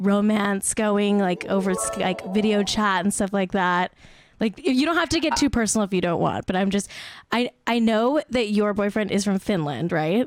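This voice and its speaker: Over music in the background, a woman speaks in an animated tone at a medium pitch, with ordinary pitch variation and very even loudness. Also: moderate pace. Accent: Southern California. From Pennsylvania, Scranton. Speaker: podcast host. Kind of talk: casual chat. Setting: video call from home.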